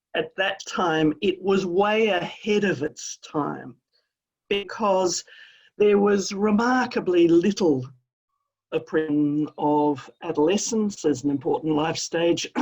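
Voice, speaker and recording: Speaking at a very slow pace, a woman with an Australian accent uses a medium pitch and lively intonation over a quiet background. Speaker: professor of adolescent health. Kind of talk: interview.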